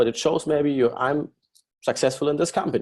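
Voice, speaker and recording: This man has a German accent. His pitch sits fairly high. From Germany. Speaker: company executive presenting business plan. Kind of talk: business webinar presentation. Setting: online webinar. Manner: halting with many fillers.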